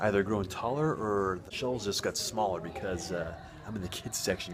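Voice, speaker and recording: Amid noticeable background noise, a man with a very deep, low voice speaks with fairly even intonation. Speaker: video blogger. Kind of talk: casual vlog walkthrough. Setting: library. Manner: whispering.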